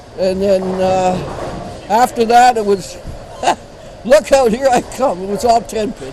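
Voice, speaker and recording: Through noticeable background noise, a man speaks at a very slow pace in a high pitch with ordinary pitch variation. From Ontario, Canada (Sarnia area). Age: 70s. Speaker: veteran amateur bowler. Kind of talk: interview.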